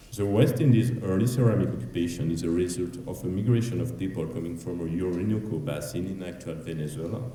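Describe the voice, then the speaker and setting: A man with a very deep, low voice talks at a very fast pace with a French accent, barely pausing. His intonation is lively, and the room echo is audible. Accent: French accent, self-described as ugly. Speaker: archaeologist. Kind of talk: conference presentation. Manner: fast, hurried.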